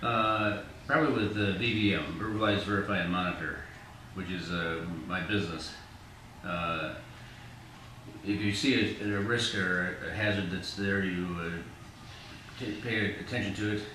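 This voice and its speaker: A man at a fairly low pitch and fairly even intonation, moderate pace with long, frequent pauses, audible room echo and noticeable background noise. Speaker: older adult interviewee in falls assessment. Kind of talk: interview. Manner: halting, many fillers.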